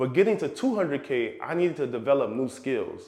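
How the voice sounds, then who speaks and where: A man's fairly high voice, lively in intonation and fairly quick, over noticeable background noise. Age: 30s. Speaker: real estate investor and finance YouTuber. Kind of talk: personal finance vlog.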